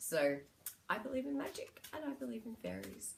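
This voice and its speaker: Moderately paced speech from a woman with an Australian accent. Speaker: psychic medium and spiritual healer. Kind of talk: spiritual guidance talk (card reading). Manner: casual, with frequent fillers.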